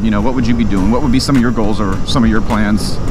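With music playing in the background, a man speaks in a dry sound with no echo. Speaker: motorcycle vlogger. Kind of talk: casual vlog chat. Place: motorbike.

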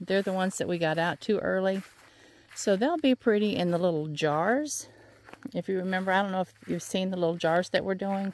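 In a dry sound with no echo, a woman speaks at a medium pitch and a fairly quick pace. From US South. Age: 60s. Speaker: flower farmer and vlogger; vlogger. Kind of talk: casual walking vlog. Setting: outdoors. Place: farm. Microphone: phone near.

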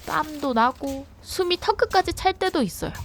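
A woman speaks with a high pitch and very wide pitch swings. Her pace is fairly slow. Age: 30s. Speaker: workwear shop worker. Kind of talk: vlog narration.

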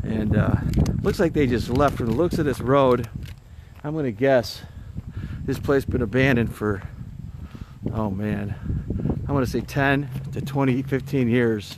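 The speech has long, frequent pauses. The sound is dry with no echo, over noticeable background noise. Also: fairly slow pace. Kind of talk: casual vlog chat. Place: factory. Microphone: phone near.

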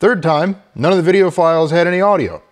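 A man speaks fairly quickly, and the background stays quiet. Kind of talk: casual vlog chat. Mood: mildly exasperated, joking. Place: home room. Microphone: lapel.

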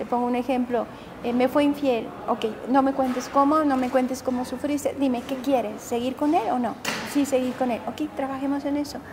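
A woman's high-pitched, monotone voice with flat intonation, at a moderate pace, over noticeable background noise. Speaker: psychotherapist and self-help author. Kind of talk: interview.

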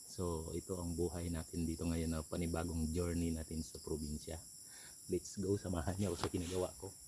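Fairly quick and somewhat breathy, a man speaks with a very deep, low pitch, a dark, mellow tone and monotone, flat intonation. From Philippines, rural province. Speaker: vlogger. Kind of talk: casual vlog narration.

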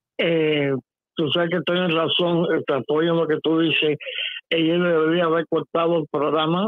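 A man's fairly high-pitched voice at a fairly slow pace, with monotone, flat intonation. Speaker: caller. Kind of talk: phone-in call.

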